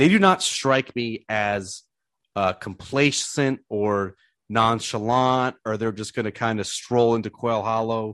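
An ordinary speaking voice with ordinary pitch variation. The sound is dry and close with no echo, and the background is quiet. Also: man. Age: 30s. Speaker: golf podcast host. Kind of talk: casual chat.

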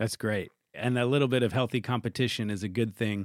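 A man with medium pitch uses a normal speaking voice at a fairly quick pace with ordinary pitch variation, and the sound is dry and close with no echo. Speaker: radio host and pianist. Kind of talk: radio music show hosting and interviews. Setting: recording studio.

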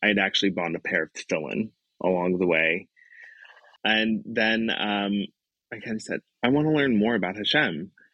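A man talks at a moderate pace with a Brooklyn accent and a fairly low pitch. His pitch varies ordinarily, broken by long, frequent pauses. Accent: New York (Brooklyn). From Brooklyn, New York. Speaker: educator. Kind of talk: interview storytelling.

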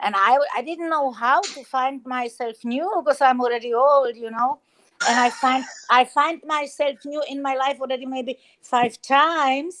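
A woman with a Spanish accent speaks at a high pitch and moderate pace with ordinary pitch variation, in a very clean recording with a silent background. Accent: Spanish-sounding. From Czech Republic. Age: 60s. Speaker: hip hop artist. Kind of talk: casual chat. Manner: sing-song.

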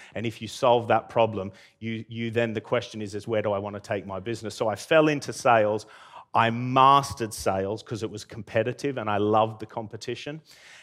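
A man with an Australian accent at medium pitch, fairly quick in pace with fairly even intonation, on a very clean recording over a silent background. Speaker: entrepreneur. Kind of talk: talk to live audience. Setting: stage with audience.

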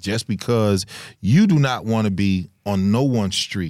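Captured in a very clean recording with a silent background, a man with a fairly low pitch speaks with lively intonation. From US Midwest, Chicago. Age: 40s. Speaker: comedian. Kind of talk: casual chat. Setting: studio.

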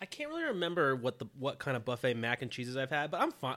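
Talking very fast, a man uses a bright, sharp tone and very wide pitch swings. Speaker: comedy podcast co-host. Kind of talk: casual chat. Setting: home, in bed. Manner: laid-back, lounging.

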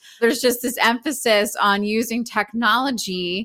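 A woman speaks with an American accent in a bright, sharp tone at a moderate pace. The recording is very clean with a silent background and a dry, close sound with no echo. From Philadelphia, US. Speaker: spiritual teacher. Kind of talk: casual interview chat.

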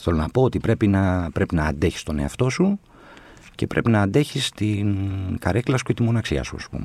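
A plain, everyday voice moves at a moderate pace with lively intonation. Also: man, fairly low pitch for a man. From Athens, Greece (Exarchia). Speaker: novelist and screenwriter. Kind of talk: casual interview chat.

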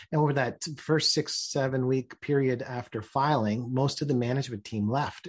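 Somewhat breathy and at a medium pitch, a man with a Canadian accent speaks at a moderate pace with fairly even intonation and hardly any pauses. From Ontario, Canada. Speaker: business executive and author. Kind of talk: interview. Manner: halting, frequent repetitions and fillers.

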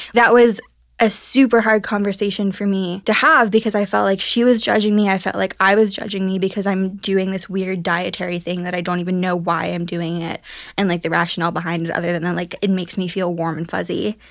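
A woman talks at a fairly quick pace in a Midwestern American accent. Her pitch is medium and her intonation stays fairly even. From US Midwest, Ohio. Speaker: podcast producer. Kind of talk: casual chat.

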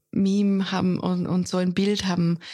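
In a very clean recording with a silent background, a woman with a slight Austrian accent speaks very slowly at a medium pitch, her tone dark and mellow and her intonation monotone and flat. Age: 30s. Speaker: foreign correspondent. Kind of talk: interview.

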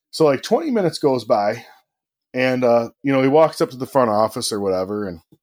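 A plain, everyday voice belongs to a man with a medium pitch and lively intonation. He talks at a fairly quick pace in a very clean recording with a silent background. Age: 30s. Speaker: auto technician. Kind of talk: casual chat.

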